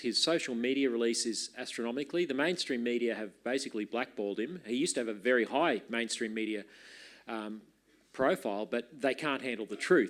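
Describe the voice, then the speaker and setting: A man speaks with an Australian accent at a medium pitch. The recording is very clean, with a silent background. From Queensland, Australia. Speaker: party leader introducing speaker. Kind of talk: conference introduction speech.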